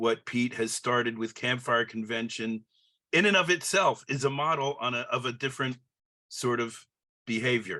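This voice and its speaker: The background is quiet as a man speaks at a moderate pace. His tone is bright and sharp. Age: 70s. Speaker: audience member. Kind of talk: casual chat.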